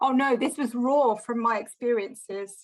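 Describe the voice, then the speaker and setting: Her voice is fairly high in pitch, and this woman keeps her intonation fairly even. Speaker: lightning talk speaker. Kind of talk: presentation; casual chat. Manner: confident.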